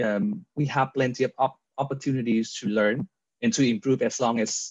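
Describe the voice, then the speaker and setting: Against a quiet background, a man speaks with a Vietnamese accent. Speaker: real estate agent. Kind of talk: casual interview. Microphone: video call.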